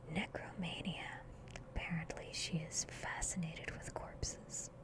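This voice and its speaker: Whispering at a very slow pace, with noticeable background noise. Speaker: ASMR gaming YouTuber. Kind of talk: soft-spoken gaming commentary. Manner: soft-spoken, whispery.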